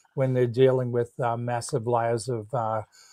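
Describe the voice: A man speaks in a dark, mellow tone with little pitch movement.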